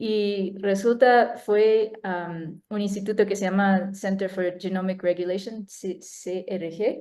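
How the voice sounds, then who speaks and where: Very slowly, a woman talks in a dark, mellow tone. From United States. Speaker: neuroscientist. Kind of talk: talk presentation. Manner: halting.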